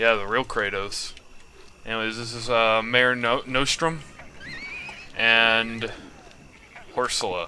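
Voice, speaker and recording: Amid noticeable background noise, a man with a medium pitch talks at a very slow pace with long, frequent pauses. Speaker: gaming YouTuber. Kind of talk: gameplay commentary. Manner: animated; halting.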